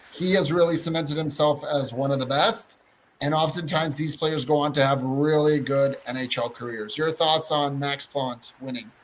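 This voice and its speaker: This man talks at a moderate pace in a fairly high pitch, his intonation fairly even. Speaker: hockey podcast co-host. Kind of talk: casual podcast chat. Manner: halting, tripping over words.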